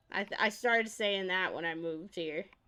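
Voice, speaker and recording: The recording is very clean, with a silent background. A woman speaks in a bright, sharp tone. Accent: American. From upstate New York. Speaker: VTuber streamer. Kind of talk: casual live-stream chat.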